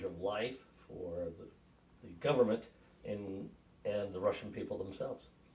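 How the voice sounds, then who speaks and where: A somewhat breathy man speaks in an American accent with ordinary pitch variation. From western New York, US. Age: 60s. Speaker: navy veteran, grandfather. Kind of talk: family interview. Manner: hesitant, with frequent fillers.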